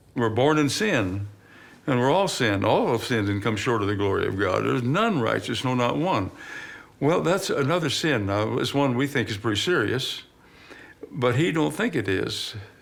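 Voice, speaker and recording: With audible room echo, a man speaks at a moderate pace and medium pitch, his loudness very even despite very wide pitch swings. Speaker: father of documentary subject. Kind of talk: documentary interview.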